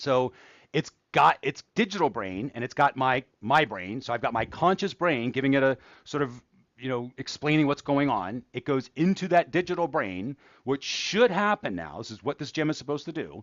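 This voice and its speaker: With a plain, everyday voice, a man speaks at a fairly high pitch. His intonation is lively and his pace moderate. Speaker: AI educator, channel host. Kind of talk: livestream tutorial. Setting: livestream. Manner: casual, conversational.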